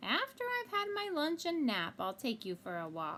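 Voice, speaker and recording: Putting on a character voice, a woman speaks at a high pitch and moderate pace amid clear background noise. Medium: read story.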